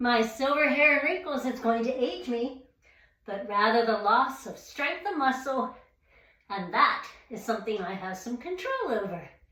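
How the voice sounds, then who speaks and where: A woman with a high-pitched voice speaks at a fairly slow pace with lively intonation, big swings in loudness, long and frequent pauses, and audible room echo. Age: 60s. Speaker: fitness content creator. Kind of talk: casual vlog talk to camera.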